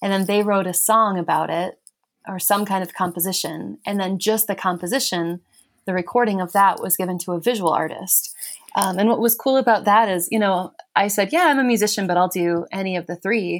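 In a normal speaking voice, the speaker talks at a fairly quick pace with an American accent and fairly even intonation. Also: woman, medium pitch for a woman. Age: young. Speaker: musician and writer. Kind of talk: casual chat. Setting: video call.

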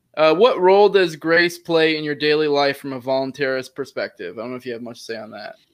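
Against a quiet background, a man talks with lively intonation. His pitch is fairly high. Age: 20s. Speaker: youtube show host. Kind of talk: casual interview. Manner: halting, many fillers.

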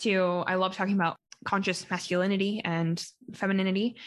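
A woman with a Western Canadian accent speaks at a medium pitch and a fairly quick pace over a quiet background. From Calgary, Alberta, Canada. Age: 20s. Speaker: podcaster and traveler. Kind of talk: casual interview chat.

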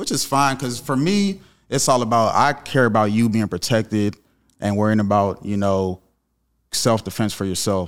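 A normal speaking voice with ordinary pitch variation. The pace is moderate. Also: man, fairly low pitch for a man, very clean recording, silent background. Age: 30s. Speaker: gun business owner. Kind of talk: casual chat.

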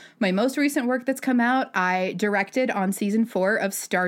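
Over a silent background in a very clean recording, a woman speaks at a moderate pace with lively intonation. She has an ordinary speaking voice at medium pitch. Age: 30s. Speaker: animation story artist and director. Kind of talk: casual chat.

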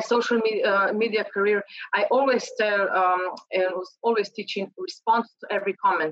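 Using lively intonation, a woman with a Slovenian accent speaks at a moderate pace and a fairly high pitch. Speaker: LinkedIn trainer. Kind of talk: interview.

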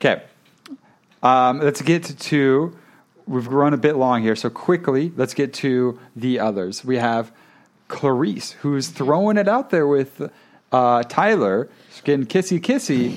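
A normal speaking voice at a fairly slow pace, with lively intonation. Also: man, fairly high pitch for a man. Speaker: podcast host. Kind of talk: casual chat reviewing a reality show.

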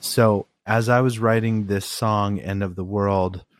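A man speaks with an American accent. His voice is captured dry and close, with no echo. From Oregon, US. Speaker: guitarist in a rock band. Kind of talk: casual podcast interview. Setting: video call.

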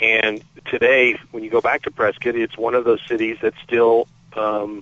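Speaking fairly slowly at a medium pitch, a man is heard over noticeable background noise. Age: 50s. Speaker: magazine editor. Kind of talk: interview.

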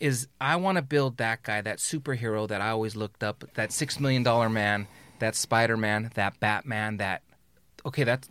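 An unremarkable speaking voice talks at a moderate pace with ordinary pitch variation. The recording is very clean, with a silent background. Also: man. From Los Angeles area, California. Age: 50s. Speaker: fatherhood and men's leadership influencer. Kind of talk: casual roundtable conversation. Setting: studio.

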